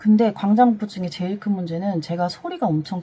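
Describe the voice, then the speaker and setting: A woman speaks at medium pitch. There is noticeable background noise. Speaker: vlogger. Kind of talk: personal testimony. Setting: home storage room. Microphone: voice recorded very quietly, gain boosted in editing.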